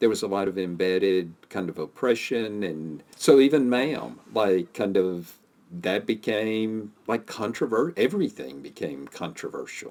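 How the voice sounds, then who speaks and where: This man has an ordinary speaking voice and talks at a fairly slow pace. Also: fairly low pitch for a man, lively intonation. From US South. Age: 60s. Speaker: podcast co-host. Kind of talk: casual chat.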